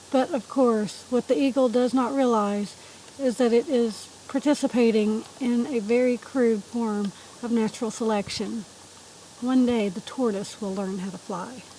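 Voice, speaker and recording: Over noticeable background noise, a woman talks at a moderate pace in a fairly high voice with ordinary pitch variation. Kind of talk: book reading aloud.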